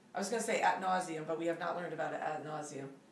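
There is audible room echo on this woman's voice. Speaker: chemistry teacher. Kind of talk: lecture. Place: home room. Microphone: camera far.

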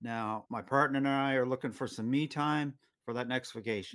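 A man with fairly even intonation against a quiet background. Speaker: show host. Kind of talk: interview questions. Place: home room. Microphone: webcam.

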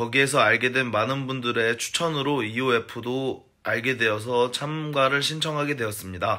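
Over a quiet background, a man talks at a very slow pace. His medium-pitched voice has a bright, sharp tone. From South Korea. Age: 30s. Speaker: food company salesman. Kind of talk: personal video message. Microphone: phone near.

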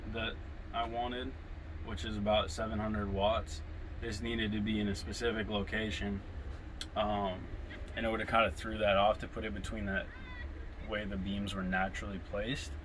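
Over light background noise, a man with fairly low pitch talks at a moderate pace, leaving long, frequent pauses. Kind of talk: interview answer. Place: home room. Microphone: camera far.

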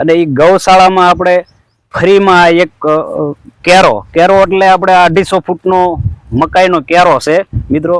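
The sound is dry and close with no echo, and the loudness stays very even. The intonation is monotone and flat. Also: man, high pitch for a man. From Gujarat, Saurashtra (Rajkot district). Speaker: organic farmer and video blogger. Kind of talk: casual vlog narration.

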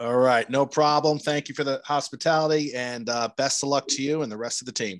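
A man with an American accent and an ordinary speaking voice talks at a fairly quick pace and fairly high pitch, with fairly even intonation, in a dry sound with no echo and a quiet background. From New Jersey. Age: 40s. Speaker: podcast host. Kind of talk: podcast outro; casual interview chat. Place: home room. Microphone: studio mic.

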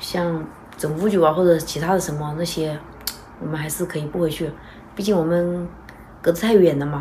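Light background noise sits behind a woman with a fairly low voice. She talks at a moderate pace with fairly even intonation. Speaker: vlogger mother. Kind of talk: casual vlog chat. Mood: calm, thoughtful planning talk. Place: home room. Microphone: phone near.

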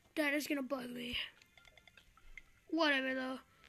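A woman with a high-pitched voice talks at a moderate pace over noticeable background noise. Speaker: gaming youtuber. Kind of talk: let's play commentary. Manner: hesitant, filler words.

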